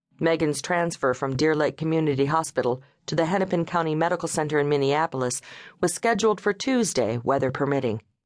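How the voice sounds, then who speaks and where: A woman with a very deep, low pitch talks very fast with lively intonation and very even loudness against a quiet background. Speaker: audiobook narrator. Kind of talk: dramatic audiobook narration of a legal thriller. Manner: tense, suspenseful, gravely paced; shifts into character voices for dialogue, pained and gruff.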